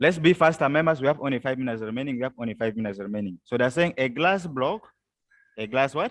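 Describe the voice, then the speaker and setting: Against a quiet background, a man with a medium-pitched voice talks very fast, his intonation lively. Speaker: teacher. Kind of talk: lecture. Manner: loud; call-and-response questioning.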